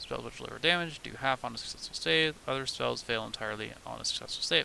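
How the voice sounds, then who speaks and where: With noticeable background noise behind him, the man's speech moves along fairly quickly. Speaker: streamer, tabletop game designer. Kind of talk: casual livestream while working. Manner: halting; mumbling.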